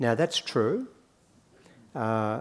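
A man in an Australian accent at a fairly slow pace. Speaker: economist; conference speaker. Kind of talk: conference talk. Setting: stage with audience. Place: hall.

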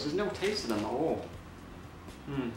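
Through audible room echo and noticeable background noise, a man speaks at a fairly quick pace. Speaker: food review vlogger. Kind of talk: casual vlog chat. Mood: relaxed, mildly upbeat. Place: home room.

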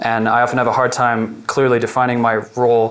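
A man talks in a monotone with flat intonation. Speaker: presenter. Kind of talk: presentation talk. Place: meeting room. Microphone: lapel.

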